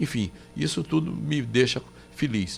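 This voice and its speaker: A man's pitch rises and falls very widely while music plays behind him. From Paraíba, Brazil. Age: 80s+. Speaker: former senator. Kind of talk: radio interview. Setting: radio studio. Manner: halting, many restarts.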